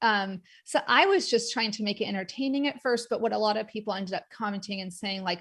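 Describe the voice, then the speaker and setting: A woman's fairly high voice on a very clean recording with a silent background. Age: 40s. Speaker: occupational therapist and arthritis advocate. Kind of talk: conference talk. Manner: fast.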